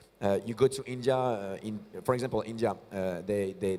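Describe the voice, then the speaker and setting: With a French accent, a man talks at a medium pitch. His intonation is fairly even. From France. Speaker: start-up founder and CEO. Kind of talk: on-stage interview. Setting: stage at tech conference. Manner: halting, many fillers and repetitions.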